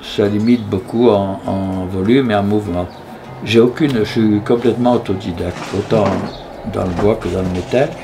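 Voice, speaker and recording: A man keeps fairly even intonation and a fairly slow pace, with noticeable noise in the background. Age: 80s+. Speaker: sculptor. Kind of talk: interview. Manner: halting, frequent hesitations.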